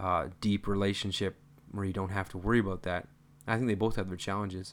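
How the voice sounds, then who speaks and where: Heard on a very clean recording with a silent background, a man speaks at a fairly low pitch. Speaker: podcast co-host. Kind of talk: casual chat. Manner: talkative.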